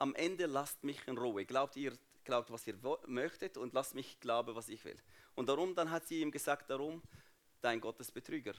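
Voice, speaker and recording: This man's pitch sits fairly high. He talks at a moderate pace with ordinary pitch variation. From Jordan (Palestinian refugee family). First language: Arabic (speaking German). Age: 30s. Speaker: guest speaker at church. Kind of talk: testimony.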